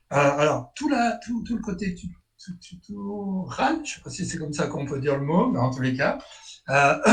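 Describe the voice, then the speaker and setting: A man speaks at a high pitch and a fairly slow pace. His voice makes very wide pitch swings. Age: 60s. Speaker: market gardener and technical tutor. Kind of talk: webinar presentation. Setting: video webinar. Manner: halting, repeats words.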